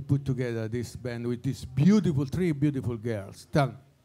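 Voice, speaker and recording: A dark, mellow tone with lively intonation and an Italian accent, at a moderate pace. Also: man. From Italy. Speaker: former jazz club owner and saxophonist, award presenter. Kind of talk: award presentation speech. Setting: stage with audience. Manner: halting.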